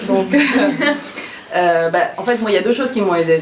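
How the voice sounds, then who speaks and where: Audible room echo and noticeable background noise are present. Through them, a woman talks at a medium pitch with ordinary pitch variation. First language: not French (speaking French). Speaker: former lawyer turned stand-up comedian. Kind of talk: personal testimony talk to an audience. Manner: hesitant, many fillers and repetitions; casual, humorous.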